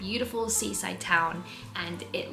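A woman's voice over faint music in the background. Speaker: travel vlogger. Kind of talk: casual vlog chat. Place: home room. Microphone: phone near.

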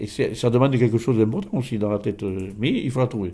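A man talks with ordinary pitch variation. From France, Gers; France. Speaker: folk healer; interviewee. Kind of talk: interview; interview answer. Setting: at his home. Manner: halting, many repetitions. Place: home room. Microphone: handheld.

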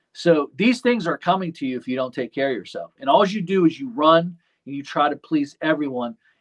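Against a quiet background, the speaker talks at a fairly quick pace with lively intonation. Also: man, big swings in loudness. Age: 40s. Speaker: lawn care business owner and YouTuber; YouTuber. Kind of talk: casual chat. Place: office. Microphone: video call.

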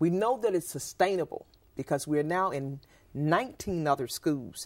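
Against a quiet background, a woman talks at a fairly slow pace in a Southern US accent. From US South, Mississippi. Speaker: school principal, nutrition advocate; guest. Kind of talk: interview. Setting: studio. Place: studio. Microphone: lapel.

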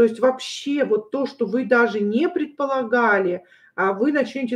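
At a moderate pace, a woman talks with ordinary pitch variation against a quiet background. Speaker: tarot reader. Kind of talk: tarot reading livestream talk.

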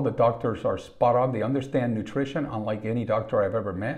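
Somewhat breathy, a man talks at a fairly quick pace against a quiet background. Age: 50s. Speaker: wellness podcaster. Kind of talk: personal monologue; casual vlog chat. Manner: halting. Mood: earnest, reflective. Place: home room. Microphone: webcam.

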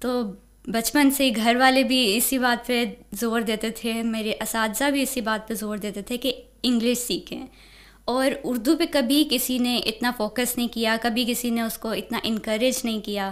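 A woman's high-pitched voice keeps a fairly even intonation. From Pakistan, Punjab (Lahore, Okara); Punjab, Pakistan. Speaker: university student; interviewee. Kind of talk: interview. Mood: calm, warm. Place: studio. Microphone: studio mic.

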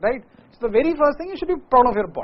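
The speaker has an animated tone and an Indian accent. The pitch swings very widely. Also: man. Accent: Indian English, Hindi speaker. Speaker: motivational speaker and teacher. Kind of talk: motivational speech to students, Hindi-English mix, lecture-like with jokes. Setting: live with audience of students. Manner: energetic, emphatic, repeats key phrases. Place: classroom. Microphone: lapel.

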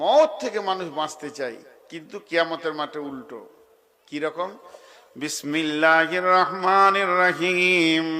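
A man with a high pitch and a bright, sharp tone speaks with ordinary pitch variation and big swings in loudness. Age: 60s. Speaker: Islamic preacher. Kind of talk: sermon. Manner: animated.

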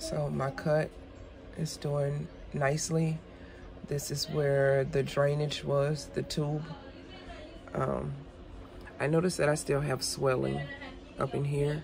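A woman at a very slow pace, with long, frequent pauses and audible room echo. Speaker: craft channel host. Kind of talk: casual vlog update. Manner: halting, many fillers.

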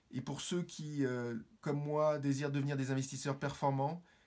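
In a fairly high voice for a man, he talks at a fairly slow pace with monotone, flat intonation. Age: 50s. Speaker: business owner, course student. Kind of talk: testimonial. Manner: formal. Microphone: phone near.

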